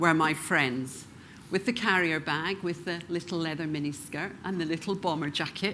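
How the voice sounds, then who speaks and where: Woman with a slight Scottish accent, fairly low pitch and bright, sharp tone, at a moderate pace with ordinary pitch variation. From Scotland, Glasgow. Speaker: professional speaker. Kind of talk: keynote talk.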